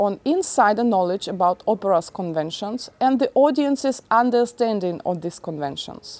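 A woman with a medium pitch and a slightly mellow tone speaks at a moderate pace with lively intonation. The sound is dry and close, with no echo.

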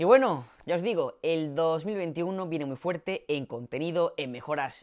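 Against a quiet background, a man speaks in a high pitch with lively intonation and an animated tone. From Spain. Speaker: tech YouTuber; tech youtuber. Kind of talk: vlog announcement. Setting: home studio set. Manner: loud, newscaster-like delivery. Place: home room. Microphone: new, better audio setup; lapel.

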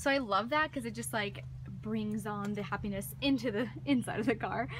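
A woman speaks at a moderate pace, and noticeable background noise is present. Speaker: vlogger. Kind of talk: casual vlog chat. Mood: cheerful, enthusiastic. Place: car.

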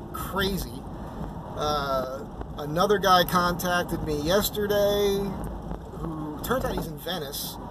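A man talks at a very slow pace with ordinary pitch variation. The sound is dry with no echo, though noticeable background noise is present. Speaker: van vlogger. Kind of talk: casual vlog chat. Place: car. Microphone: phone near.

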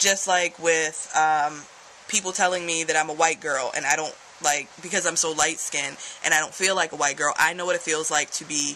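A woman's voice sits at a very deep, low pitch with a monotone, flat intonation. Light background noise runs underneath. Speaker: vlogger. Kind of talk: casual vlog opinion talk. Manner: drowsy, low voice lying in bed. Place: home room. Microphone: phone near.

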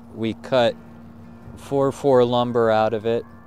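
A man's voice with ordinary pitch variation, dry sound and no echo, and faint music in the background. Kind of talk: casual vlog chat. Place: open country. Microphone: phone near.

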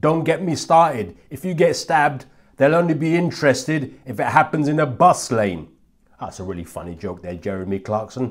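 A man talks at a moderate pace with vocal fry, very wide pitch swings and big swings in loudness. The background is quiet. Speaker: comedian; comedian commentator. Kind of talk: casual chat. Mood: sarcastic, mocking.

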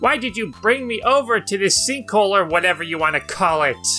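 A raspy, put-on character voice at a middle pitch moves at a fairly quick pace. Clear music plays in the background.

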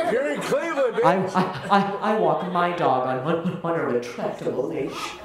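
A man's voice with audible room echo and loud background noise. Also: moderate pace. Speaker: stand-up comedian. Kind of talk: stand-up comedy set with audience laughter, joke-driven storytelling about dog walking. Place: stage.

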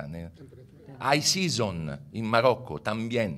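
A man talks at a fairly slow pace with vocal fry. His pitch swings very widely. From Italy. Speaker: university researcher; conference panelist. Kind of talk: conference presentation. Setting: stage with audience. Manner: halting, mixing Italian and Spanish. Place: hall. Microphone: podium.

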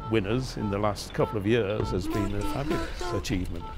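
A man talks at a moderate pace while clear music sounds in the background. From England. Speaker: retired amateur cyclist. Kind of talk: interview answer. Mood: warm, reminiscing. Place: home room.

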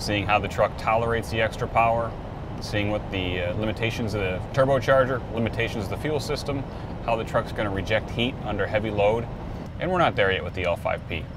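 A man talks at a fairly quick pace with ordinary pitch variation. Noticeable background noise runs beneath him. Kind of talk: casual vlog chat. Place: car. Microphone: phone near.

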